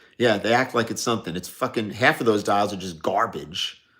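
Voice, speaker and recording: His tone is bright and sharp. The man talks in a New York accent. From New York, Staten Island. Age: 60s. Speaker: watch dealer livestreamer. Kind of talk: casual livestream Q&A. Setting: live stream.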